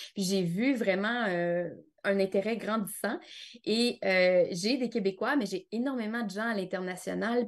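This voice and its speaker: Very slow speech with ordinary pitch variation against a quiet background. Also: woman. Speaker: aromatherapist. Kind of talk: interview. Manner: animated.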